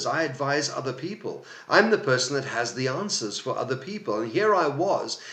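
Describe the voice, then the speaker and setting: Noticeable background noise sits behind a man's voice. He speaks at a moderate pace with lively intonation. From South Africa. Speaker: life coach. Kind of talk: personal story told to camera.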